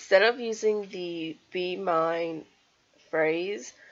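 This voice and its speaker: Ordinary pitch variation marks this woman's medium-pitched voice. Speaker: card-making crafter. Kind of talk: tutorial voiceover.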